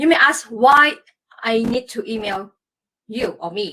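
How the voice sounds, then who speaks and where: Lively in intonation, a woman speaks in a Malaysian accent at a high pitch. Her pace is very slow. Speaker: former Olympic athlete and performance coach. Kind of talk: live stream talk. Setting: Facebook live stream.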